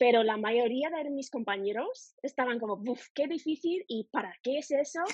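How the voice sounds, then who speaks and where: A woman with an English accent, high-pitched and lively in intonation, with hardly any pauses. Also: moderate pace. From United States. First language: English (speaking Spanish). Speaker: language teacher. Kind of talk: interview. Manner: halting.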